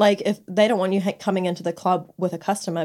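A woman's unremarkable speaking voice at medium pitch, moderate pace and fairly even intonation, on a very clean recording with a silent background. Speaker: podcast co-host and exotic dancer. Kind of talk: casual chat. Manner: giggly.

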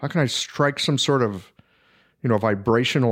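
An ordinary speaking voice with ordinary pitch variation moves at a moderate pace over a very clean recording with a silent background. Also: man. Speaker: Chinese medicine practitioner. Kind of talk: casual chat.

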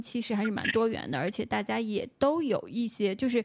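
In a plain, everyday voice, a woman goes at a fairly quick pace with a fairly high pitch and ordinary pitch variation. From Beijing. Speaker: podcast host. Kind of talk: casual chat. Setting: remote call.

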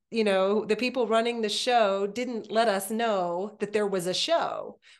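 In an ordinary speaking voice, a woman with fairly high pitch and ordinary pitch variation talks at a fairly slow pace against a quiet background. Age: 50s. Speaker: podcast host. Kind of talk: casual interview chat.

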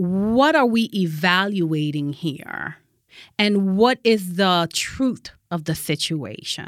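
A very slow, lively woman's voice at medium pitch, on a very clean recording with a silent background. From Haiti, raised in Connecticut from age six. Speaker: church justice ministries director. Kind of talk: casual chat.

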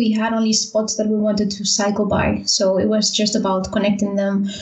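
A woman with a Spanish accent talks at a moderate pace over noticeable background noise. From Spain, Valencia. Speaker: architect and bicycle traveler. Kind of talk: casual interview.

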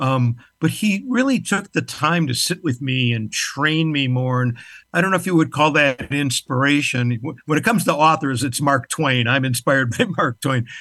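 Over a quiet background, a man speaks at a moderate pace with ordinary pitch variation and a bright, sharp tone. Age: 70s. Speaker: business performance expert and author. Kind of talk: casual interview.

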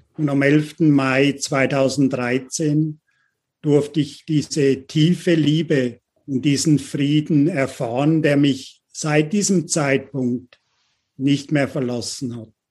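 A man with a fairly high pitch speaks very slowly and with fairly even intonation against a quiet background. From London, Uganda. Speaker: leadership coach, company CEO. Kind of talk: interview conversation.

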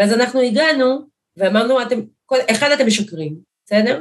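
In a plain, everyday voice, a woman talks at a moderate pace with lively intonation. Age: 40s. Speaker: politician, primary candidate. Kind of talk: interview.

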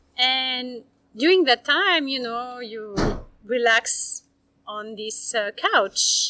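A woman's high voice at a very slow pace, with lively intonation. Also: big swings in loudness. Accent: French. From France, Bordeaux. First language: French. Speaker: wine tour company owner. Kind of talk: interview. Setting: on location.

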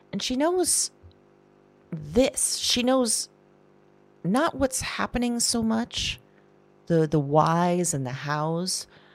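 In an anxious tone, a woman speaks at a very slow pace and medium pitch, her pitch swinging very widely between long, frequent pauses. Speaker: audio drama performer and producer. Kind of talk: audio drama first-person narration. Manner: intimate, halting, anxious, confessional; hushed, rambling, self-interrupting.

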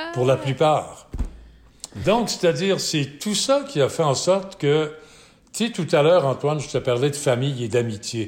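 Pausing long and often, a man speaks at a fairly slow pace with a fairly high pitch and lively intonation. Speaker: sports event founder and broadcaster. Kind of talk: interview.

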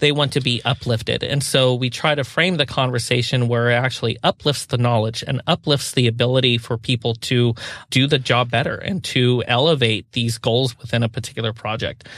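Speaking in an ordinary speaking voice with an American accent, a man talks at a fairly quick pace and a medium pitch, with hardly any pauses. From US Pacific Northwest. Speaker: sustainability consultant, co-founder of a firm. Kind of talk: interview.

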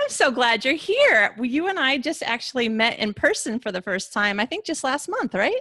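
A raised, projected voice at a moderate pace, with very wide pitch swings and hardly any pauses. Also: woman, high pitch for a woman. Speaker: podcast host. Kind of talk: interview. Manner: excitable.

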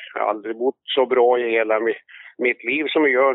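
This man's voice sits at a medium pitch and moves at a moderate pace. His delivery stays monotone and flat throughout. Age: 70s. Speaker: amateur harness racing trainer and breeder. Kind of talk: casual interview.

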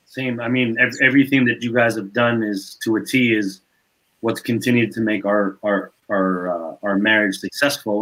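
It is an ordinary speaking voice. Its intonation is fairly even. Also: man. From Canada, Montreal. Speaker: basketball player development coach. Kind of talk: casual chat.

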